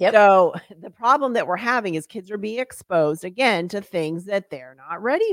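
A woman with an unremarkable speaking voice talks at medium pitch and moderate pace, her intonation lively and her loudness swinging widely. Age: 50s. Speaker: author and nonprofit CEO. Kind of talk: casual chat.

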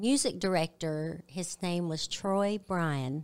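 A woman speaks with a Southern US accent and ordinary pitch variation. The recording is very clean, with a silent background. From Arkansas, US South. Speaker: gospel singer. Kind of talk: interview. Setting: studio.

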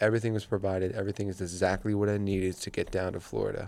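The tone is dark and mellow, delivered at a very fast pace. Intonation stays monotone and flat on a very clean recording with a silent background. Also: man. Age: 20s. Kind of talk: personal faith testimony monologue.

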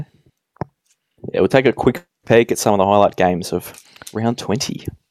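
At a moderate pace and with long, frequent pauses, a man with an Australian accent speaks in a fairly low voice, the sound dry and close with no echo. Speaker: podcast host. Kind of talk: casual chat.

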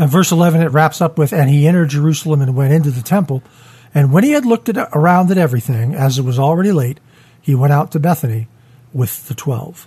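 A somewhat breathy man's voice, fairly high in pitch, very fast, with very even loudness and ordinary pitch variation. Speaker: church podcast host. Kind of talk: Bible study discussion. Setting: studio.

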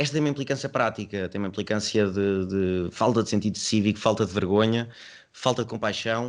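A man speaks at a medium pitch. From Portugal, Covilhã (Castelo Branco district). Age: 20s. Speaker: university student, podcast co-host. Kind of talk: casual debate among friends. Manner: animated.

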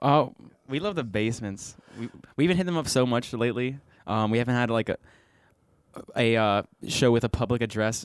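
With a Western Pennsylvania accent, a man speaks at a fairly quick pace in a medium pitch with ordinary pitch variation, leaving long, frequent pauses, on a very clean recording with a silent background. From Bridgeville, Pennsylvania. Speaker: bassist and backing vocalist. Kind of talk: casual interview. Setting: recording studio.

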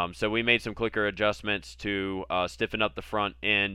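Fairly low in pitch with ordinary pitch variation, a man speaks in an unremarkable speaking voice. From Virginia, US. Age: 30s. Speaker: podcast host, motocross racer. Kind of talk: casual chat.

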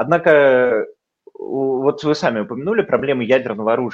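A man's plain, everyday voice at medium pitch, with ordinary pitch variation and a moderate pace. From Bendery, Moldova / Transnistria; raised in Leningrad. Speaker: former municipal deputy, historian. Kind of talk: interview.

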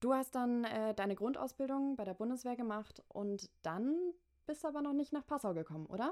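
A woman with a high pitch speaks at a moderate pace with lively intonation. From Hamburg, northern Germany. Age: 20s. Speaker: podcast host and university student. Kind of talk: casual interview.

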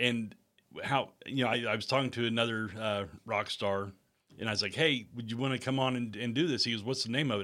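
A man with a medium pitch and a bright, sharp tone at a fairly quick pace, fairly even in intonation, on a very clean recording with a silent background. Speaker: podcast host, former radio DJ. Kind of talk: casual interview.

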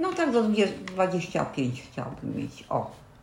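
There is noticeable background noise and audible room echo as a woman speaks with lively intonation. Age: 60s. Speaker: grandmother, retiree. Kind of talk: casual chat. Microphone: poor built-in mic, low quality.

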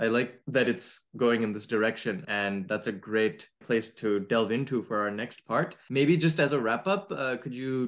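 A man's ordinary speaking voice, medium in pitch, at a moderate pace. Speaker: podcast host. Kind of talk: interview.

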